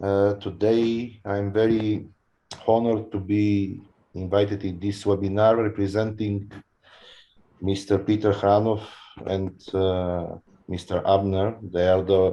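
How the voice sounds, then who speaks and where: A man speaks in a monotone with a non-native accent, his fairly low voice dark and mellow, moving at a fairly slow pace with long, frequent pauses. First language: not English. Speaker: lottery company representative. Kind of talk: webinar panel introduction.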